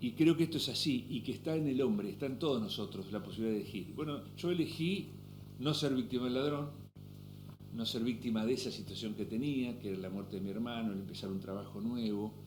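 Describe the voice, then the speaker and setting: Over audible room echo, a man with an Argentine accent speaks very fast at a medium pitch with lively intonation. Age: 60s. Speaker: businessman and author. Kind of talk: interview conversation.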